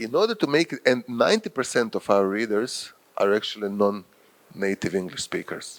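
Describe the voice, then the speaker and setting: With a Croatian accent, a man speaks at a moderate pace with lively intonation. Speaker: professor and journal editor. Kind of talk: lecture. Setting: workshop with audience.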